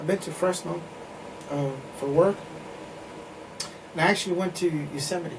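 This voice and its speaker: Amid noticeable background noise, a man speaks at a fairly quick pace in a high voice with fairly even intonation and long, frequent pauses. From Mexico. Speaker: podcast guest. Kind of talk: casual chat.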